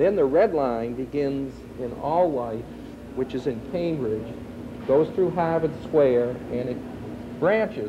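Noticeable background noise sits under a man who delivers his words at a very slow pace. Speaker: teacher acting as tour guide. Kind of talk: interview answer. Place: hall. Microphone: handheld.

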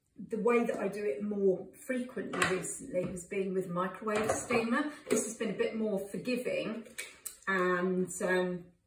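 A woman speaks with ordinary pitch variation. Room echo and light background noise can be heard. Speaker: home cook reviewing a product. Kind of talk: casual product demo chat. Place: kitchen. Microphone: phone near.

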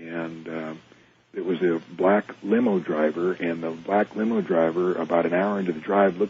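A man speaks at a moderate pace. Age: 60s. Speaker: retired airline pilot. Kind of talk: radio interview. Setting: phone call.

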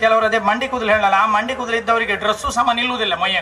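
A man's raised, projected voice at an extremely high pitch, with a coastal Karnataka accent, fairly even intonation and noticeable background noise. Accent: Kundapra Kannada dialect. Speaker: stand-up comedian. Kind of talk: stand-up comedy routine.

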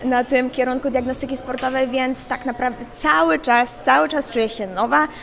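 A woman with a high pitch speaks at a moderate pace over light background noise. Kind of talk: interview answer. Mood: cheerful, relaxed. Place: hall. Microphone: handheld.

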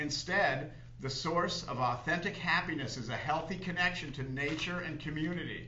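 A man speaks at a moderate pace with ordinary pitch variation, with audible room echo and light background noise. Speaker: TV show host or guest. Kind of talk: reading an essay aloud on a talk show. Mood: critical, earnest. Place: studio.

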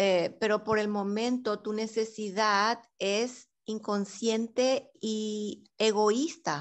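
A woman's fairly high voice at a very slow pace, with fairly even intonation and hardly any pauses. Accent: Spanish. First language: Spanish. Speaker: interpreter. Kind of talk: interpretation.

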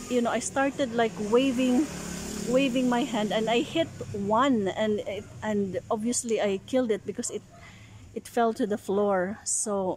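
The speech runs at a fairly slow pace with long, frequent pauses, a dry sound with no echo, and light background noise. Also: woman, ordinary pitch variation. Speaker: home vlogger. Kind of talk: casual vlog chat. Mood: calm, musing. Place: garden. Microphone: phone near.

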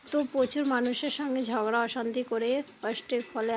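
A woman's high voice in a monotone, flat delivery, with music in the background. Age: 30s. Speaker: lifestyle vlogger. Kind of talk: casual vlog.

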